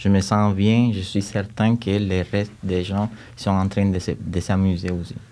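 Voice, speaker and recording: A man's slow, monotone delivery in a dark, mellow tone with a strong Cuban accent. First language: Spanish (speaking French). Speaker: music teacher, composer and choir conductor. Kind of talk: podcast interview. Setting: studio. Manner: halting, with repetitions.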